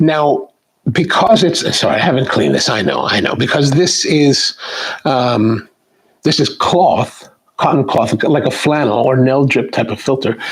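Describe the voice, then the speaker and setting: A man with a fairly high pitch speaks at a fairly slow pace, with ordinary pitch variation. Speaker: coffee video host. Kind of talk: tutorial. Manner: halting.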